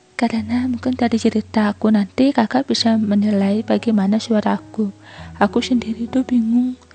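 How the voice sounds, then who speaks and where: Her pitch sits fairly high and shows ordinary variation as the woman speaks at a fairly quick pace. Her loudness stays very even. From Indonesia, outside Java. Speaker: listener sharing a personal story. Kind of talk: personal confession.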